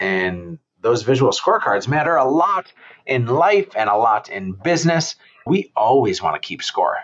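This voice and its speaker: At a moderate pace, a man speaks in a medium-pitched voice. His pitch swings very widely. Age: 40s. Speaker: real estate entrepreneur and advocate. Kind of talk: interview conversation. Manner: loud.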